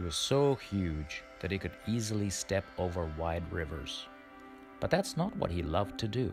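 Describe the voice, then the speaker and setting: With music in the background, a man with a very deep, low pitch talks at a moderate pace with lively intonation. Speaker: storyteller. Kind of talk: fairy tale reading.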